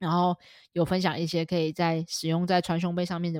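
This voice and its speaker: A woman speaks at a very fast pace, her pitch fairly low. The recording is very clean, with a silent background. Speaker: dog behavior trainer and podcast co-host. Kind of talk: casual chat. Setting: studio.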